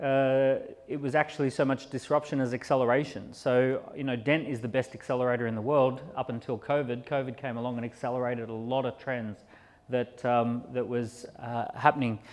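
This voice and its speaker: A man with an Australian accent, medium pitch, fairly even intonation and a fairly quick pace. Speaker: entrepreneur and keynote speaker. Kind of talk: conference keynote talk. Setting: stage at live industry event.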